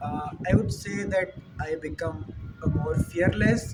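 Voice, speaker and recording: A man's fairly high voice in an Indian accent, with music in the background. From India, Uttar Pradesh. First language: Hindi. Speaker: student. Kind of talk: Q&A monologue, career advice. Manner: hesitant, many fillers.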